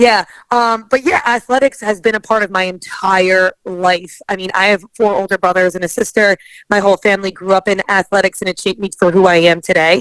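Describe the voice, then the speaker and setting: With a strong New Jersey accent, a woman speaks at medium pitch and a fairly quick pace with fairly even intonation, in a dry, close sound with no echo. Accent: heavy New Jersey. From northern New Jersey. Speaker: athlete and entrepreneur. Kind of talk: podcast interview.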